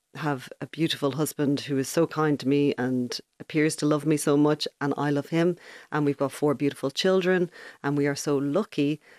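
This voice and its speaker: With a Dublin accent, a woman speaks at a moderate pace in a very deep, low pitch and a monotone, flat delivery, the recording very clean with a silent background and a dry, close sound with no echo. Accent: Dublin Irish. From Ireland, Dublin (Ballybrack). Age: 40s. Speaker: journalist and novelist. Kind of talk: interview.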